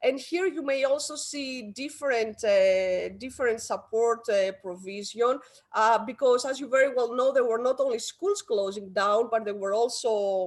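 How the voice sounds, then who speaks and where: A woman with a Greek accent talks at a moderate pace with hardly any pauses. Her pitch is fairly high with ordinary variation, and the background is quiet. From Greece. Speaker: education policy expert. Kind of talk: conference talk.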